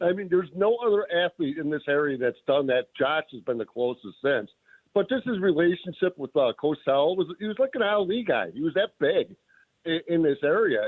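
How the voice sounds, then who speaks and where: A man talks with an American accent in a high pitch. His pace is moderate, and his pitch swings very widely. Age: 60s. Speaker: caller. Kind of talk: radio call-in. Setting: phone call.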